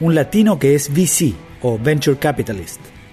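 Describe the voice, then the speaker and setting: A man's fairly high voice at a moderate pace, with music in the background. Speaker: journalist, podcast host. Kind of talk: podcast intro narration.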